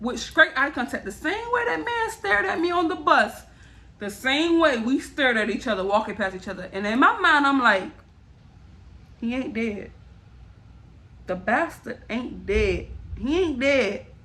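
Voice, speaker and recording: A woman's raised, projected, high-pitched voice at a moderate pace, with very wide pitch swings and long, frequent pauses. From Miami, Florida. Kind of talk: casual storytime talk to camera.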